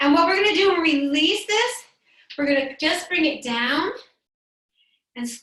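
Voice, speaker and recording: In a room with audible echo, a woman talks at a moderate pace in a calm yet bright, sharp tone, her intonation lively. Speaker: yoga instructor. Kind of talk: guided yoga class. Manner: calm, instructive.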